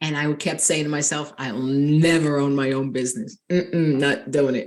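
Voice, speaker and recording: In a strong New York accent, a woman talks at a fairly slow pace with a very deep, low pitch. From Long Island, New York. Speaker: nurse and life coach. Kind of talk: interview.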